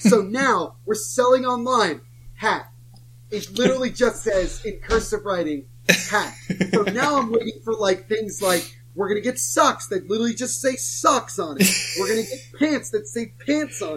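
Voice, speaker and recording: A man with an American accent speaks in a high voice at a moderate pace, his intonation lively. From New Jersey. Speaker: hockey podcast host and author. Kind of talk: casual chat.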